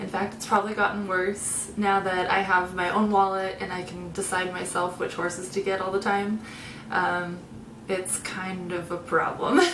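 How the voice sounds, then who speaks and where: The voice holds a monotone, flat intonation against audible room echo. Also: woman, medium pitch for a woman, moderate pace. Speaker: video creator. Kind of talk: casual vlog talk. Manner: hesitant, many fillers.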